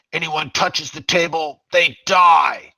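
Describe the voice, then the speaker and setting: Loud and high-pitched, a man does a put-on character voice with monotone, flat intonation, recorded dry and close with no echo. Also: fairly slow pace. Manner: loud, threatening.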